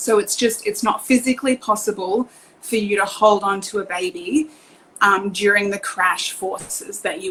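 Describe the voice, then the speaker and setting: With an Australian accent, a woman speaks at a moderate pace and medium pitch against noticeable background noise. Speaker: car seat technician. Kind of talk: online presentation. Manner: hesitant, many fillers.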